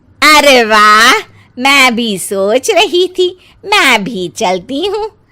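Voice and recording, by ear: A woman uses a cartoonish character voice with a high pitch. She speaks at a very slow pace with very wide pitch swings.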